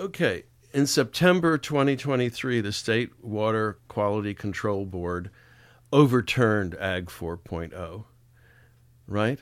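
The voice moves at a very slow pace with lively intonation. The recording is very clean, with a silent background. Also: man, fairly low pitch for a man. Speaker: radio host. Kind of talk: radio interview.

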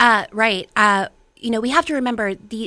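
In an American accent, a woman speaks at a moderate pace with a bright, sharp tone and fairly even intonation on a very clean recording with a silent background. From West Virginia, Ohio Valley (Weirton). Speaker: local political group chair and volunteer organizer. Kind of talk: radio interview.

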